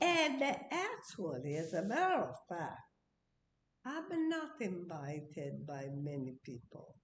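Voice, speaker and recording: The room echo is audible here. This woman talks at a very slow pace. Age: 80s+. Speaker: interviewee, host's mother. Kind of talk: casual chat. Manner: halting.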